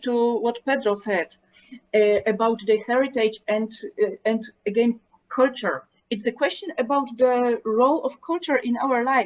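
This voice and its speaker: Speaking with a non-native accent, a woman uses a high pitch and a fairly slow pace. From Poland. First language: not English. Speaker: early music teacher. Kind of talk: panel discussion. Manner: halting, repeats words.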